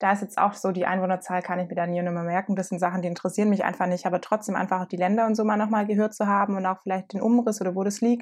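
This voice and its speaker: A woman's medium-pitched, very fast, flat monotone against a quiet background. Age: 20s. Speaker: podcast co-host. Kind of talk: casual chat.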